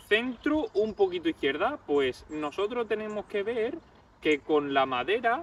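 Pitched high, a man's voice swings very widely, with a dry sound and no echo. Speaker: golf instructor. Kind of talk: tutorial. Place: open country. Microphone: camera far.

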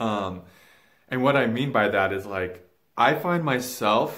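The man keeps a moderate pace, and the background stays quiet. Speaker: spiritual vlogger. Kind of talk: casual vlog chat. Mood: reflective, earnest. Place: home room. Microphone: phone near.

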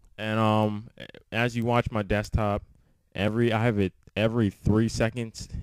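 The speaker is a man. His pitch is fairly low. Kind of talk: casual screen-recording tech tutorial. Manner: casual, hesitant with many fillers.

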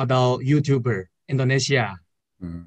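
In a Chinese accent, a man speaks at a very slow pace with ordinary pitch variation over a quiet background. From China. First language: Chinese (speaking Indonesian). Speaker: university student. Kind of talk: video call interview; interview answer. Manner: halting. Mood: friendly, smiling. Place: home room. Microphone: video call.

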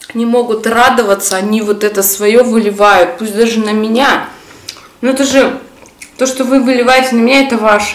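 A woman speaks at a moderate pace with fairly even intonation, taking long, frequent pauses. Room echo is audible. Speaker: mukbang vlogger. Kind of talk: casual vlog chat. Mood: warm, festive. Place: home room.

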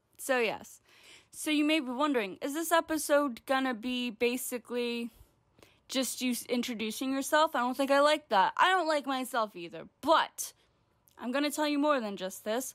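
Over a quiet background, a woman speaks at a high pitch with lively intonation. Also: moderate pace. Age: 20s. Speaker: comedy vlogger. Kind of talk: comedic vlog monologue. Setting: home recording to camera. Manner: animated. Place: home room.

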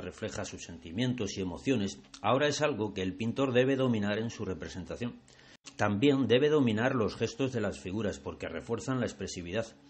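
Here is a man with a plain, everyday voice at a medium pitch. He talks at a fairly quick pace with lively intonation. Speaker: art guide and video channel creator. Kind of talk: guided museum tour narration, art-history explanation. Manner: measured, didactic, formal; clear, even-paced, expository.

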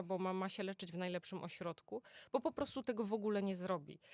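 A woman's unremarkable speaking voice at medium pitch, fairly quick pace and ordinary pitch variation, with a dry, close sound and no echo. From Poland, Greater Poland (Poznań). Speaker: oncologist. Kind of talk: interview. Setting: studio.

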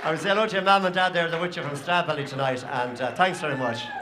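The speaker talks at a fast pace with ordinary pitch variation. Clear crowd noise and other clear background noise can be heard behind them. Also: man, fairly high pitch for a man.

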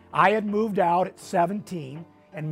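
A man speaks in a high pitch for a man. Faint music plays in the background. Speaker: finance course host. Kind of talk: lecture. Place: studio. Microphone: lapel.

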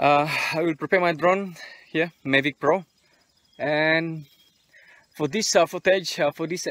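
The sound is dry with no echo, and the background is quiet. A man speaks at a fairly slow pace with fairly even intonation. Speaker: travel vlogger. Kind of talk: casual vlog chat. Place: open country. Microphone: phone near.

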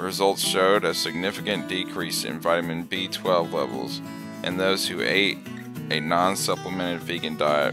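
Music plays behind a man with a very deep, low pitch. He talks at a moderate pace with ordinary pitch variation. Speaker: college student. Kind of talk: class presentation narration.

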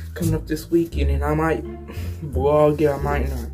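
A man talks at a moderate pace over clear music in the background. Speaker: vlogger. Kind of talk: casual vlog chat. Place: home room. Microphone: phone near.

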